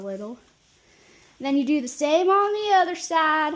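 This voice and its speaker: Intonation is lively and the tone playful, in a Nebraska accent. Delivery moves at a moderate pace. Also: woman. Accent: rural Nebraska. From Nebraska, US Midwest. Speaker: caregiver. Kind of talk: tutorial. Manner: casual, playful.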